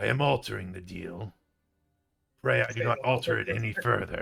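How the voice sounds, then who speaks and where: A man puts on a character voice at a medium pitch and a moderate pace. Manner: menacing.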